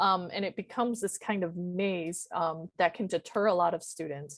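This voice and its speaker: The pace is moderate and the background quiet. It is an unremarkable speaking voice with ordinary pitch variation. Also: woman. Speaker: university career advisor. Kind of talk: presentation.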